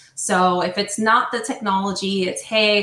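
A woman talks at a medium pitch in a monotone, flat intonation. Noticeable background noise sits behind her. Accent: American. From New Jersey. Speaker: HR software sales representative. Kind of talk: casual interview.

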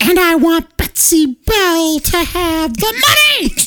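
A squeaky, female-sounding voice is a put-on character voice. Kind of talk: comic spooky voice acting. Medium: game stream. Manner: taunting.

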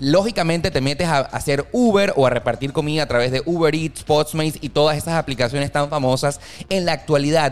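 A man with a fairly high pitch talks at a fairly quick pace as noticeable background noise carries on. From Venezuela (Valencia). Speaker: podcast host. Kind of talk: casual chat.

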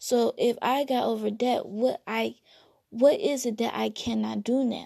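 The backdrop is quiet. A woman talks fairly slowly. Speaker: podcast host. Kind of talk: solo monologue podcast, reflective talk.

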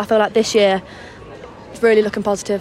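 Over music in the background, a woman talks at a fairly high pitch with monotone, flat intonation. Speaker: women's football player. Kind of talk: interview.

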